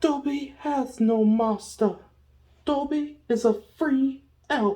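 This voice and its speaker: A man puts on a character voice with an extremely high pitch. He speaks at a very slow pace. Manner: declaring freedom proudly.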